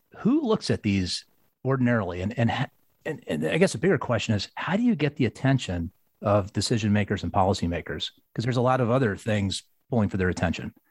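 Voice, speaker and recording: Somewhat breathy and very fast, a man with a medium pitch speaks in a very clean recording with a silent background and a dry, close sound free of echo. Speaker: podcast host. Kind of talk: interview.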